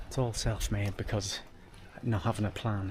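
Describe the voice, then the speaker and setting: At a moderate pace, a man talks in an Irish accent. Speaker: travel vlogger. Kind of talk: casual vlog narration. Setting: outdoors walking on a street at night.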